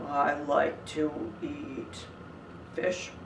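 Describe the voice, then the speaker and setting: Someone speaks in a put-on character voice over clear background noise. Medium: read story.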